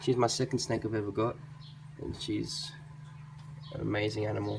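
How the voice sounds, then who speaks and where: A man with an Australian accent at a moderate pace, against noticeable background noise. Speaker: reptile keeper video creator. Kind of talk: casual show-and-tell vlog.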